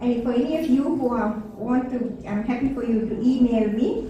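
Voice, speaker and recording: Over noticeable background noise and audible room echo, a woman with a non-native accent speaks in a high pitch. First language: not English. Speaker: sex educator and speaker. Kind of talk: public talk to parents.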